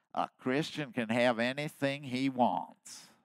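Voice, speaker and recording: A man's put-on character voice with an East Texas accent, medium pitch and a fairly slow pace. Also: fairly even intonation. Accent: East Texas drawl. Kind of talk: sermon.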